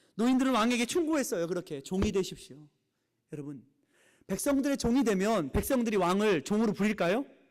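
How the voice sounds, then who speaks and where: The recording is very clean, with a silent background. A man talks at a fairly quick pace in a high pitch that swings very widely. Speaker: pastor. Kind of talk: sermon. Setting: church. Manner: speeds up when time runs short.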